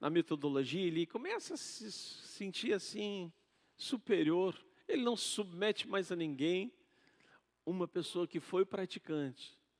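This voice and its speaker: Pitched high, a man speaks at a fairly slow pace with lively intonation. The recording is dry and close, with no echo. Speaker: pastor. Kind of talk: sermon. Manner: soft-spoken.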